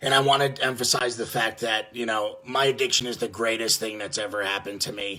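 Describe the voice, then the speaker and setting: A man's medium-pitched voice, bright and sharp in tone, with monotone, flat intonation. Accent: New York. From New York (Yonkers, near the Bronx). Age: 20s. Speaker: addiction treatment business development rep in recovery. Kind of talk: personal testimony. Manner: halting, many fillers and false starts.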